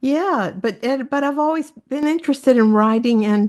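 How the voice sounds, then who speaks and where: A woman speaks in a Southern US accent. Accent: soft Southern. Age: 70s. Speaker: novelist. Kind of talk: interview.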